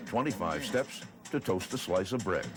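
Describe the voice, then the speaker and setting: Music is heard in the background. A man talks at a moderate pace, his intonation lively. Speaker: newsreel narrator. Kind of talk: documentary narration.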